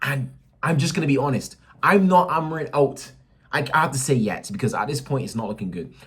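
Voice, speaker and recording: A man's fairly high voice, animated and very fast, with lively intonation and vocal fry. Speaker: football fan vlogger. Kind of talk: match reaction rant.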